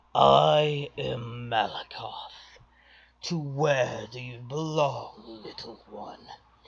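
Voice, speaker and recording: A gravelly, put-on character voice speaks at a very slow pace. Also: man, medium pitch for a man. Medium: read story. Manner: soft, deliberate.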